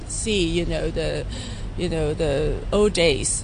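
Noticeable noise fills the background as a woman talks fairly slowly. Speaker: conservation campaigner. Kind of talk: interview. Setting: outdoors. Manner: halting.

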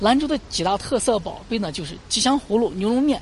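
Lively in intonation and fairly quick, a woman talks in an ordinary speaking voice. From Lanzhou, northwest China. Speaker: local tour guide. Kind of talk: guided tour.

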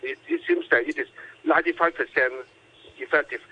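A man is talking. He keeps a moderate pace. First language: Cantonese. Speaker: doctor. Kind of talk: radio interview. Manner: halting.

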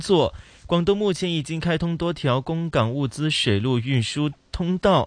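A man speaks in a normal speaking voice, fairly high-pitched, with ordinary pitch variation at a moderate pace. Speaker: radio co-host. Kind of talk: radio talk show. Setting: studio.

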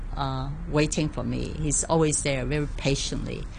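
A woman speaks at a fairly slow pace. Noticeable background noise and audible room echo come through. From Hong Kong. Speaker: community artist. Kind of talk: interview.

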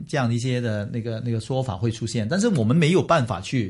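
A man speaks at a fairly quick pace with a somewhat breathy quality. His pitch moves in an ordinary way. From Hong Kong. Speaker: business executive. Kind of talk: interview.

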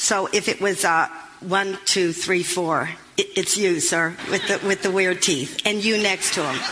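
The speech moves at a moderate pace. Noticeable background noise is audible throughout. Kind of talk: stand-up comedy, dry confessional storytelling about a breakdown, aimed at laughs.

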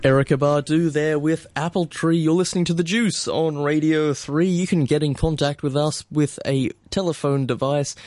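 In an ordinary speaking voice, a fairly high-pitched man speaks at a moderate pace with very even loudness and hardly any pauses. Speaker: radio host. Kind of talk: casual chat. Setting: studio.

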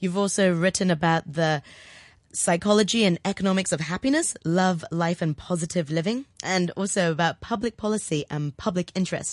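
Against a quiet background, a woman talks at a moderate pace in a fairly low pitch with ordinary pitch variation and a warm, enthusiastic tone. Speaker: radio host. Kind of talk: radio interview. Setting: radio studio.

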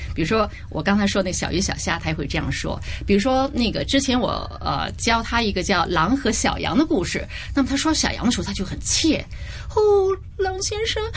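Audible room echo and noticeable background noise fill the recording. The pace is fairly quick. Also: woman. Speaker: language center founder and Mandarin teacher. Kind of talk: radio interview. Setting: radio studio.

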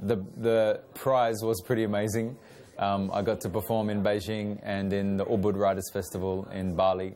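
In an Australian accent, a man speaks at a moderate pace with a dark, mellow tone, fairly low pitch and flat, monotone intonation. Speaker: spoken word poet and rapper. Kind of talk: interview.

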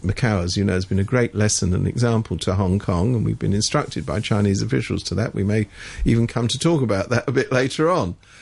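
A man with a British accent speaks at a very fast pace, his pitch fairly low. His voice carries vocal fry and ordinary pitch variation. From Britain. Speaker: political commentator. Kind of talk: radio current affairs discussion. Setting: radio studio.

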